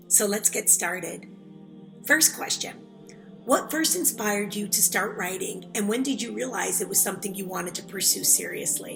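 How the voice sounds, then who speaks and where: A woman at a medium pitch talks at a moderate pace, her pitch varying in an ordinary way as music plays in the background. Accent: American. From Chicago South Side, USA. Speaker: author. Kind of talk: interview answer.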